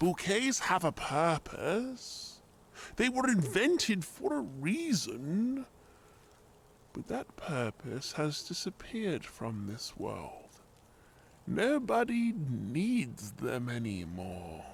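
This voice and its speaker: A man does a shaky put-on character voice, pitched high for a man. He goes very slowly with very wide pitch swings. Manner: sad, explaining.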